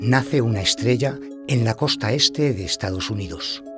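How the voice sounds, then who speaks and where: Music in the background behind a man at a medium pitch with lively intonation. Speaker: voice actor. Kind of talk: documentary narration.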